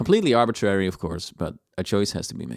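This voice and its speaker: A Dutch accent with very wide pitch swings. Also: man. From Netherlands. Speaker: video game music composer, streamer. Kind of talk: live stream reaction chat.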